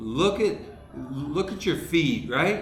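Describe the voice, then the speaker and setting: A man with an American accent talks at a very slow pace, with noticeable background noise and audible room echo. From US Midwest (Dayton, Ohio). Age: 60s. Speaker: comedian. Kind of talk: casual chat.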